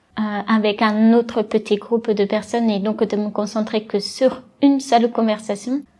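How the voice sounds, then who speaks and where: Somewhat breathy and dark, mellow in tone, a woman talks at a fairly high pitch and moderate pace with monotone, flat intonation. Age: 20s. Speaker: deaf para-badminton athlete. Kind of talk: interview. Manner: hesitant.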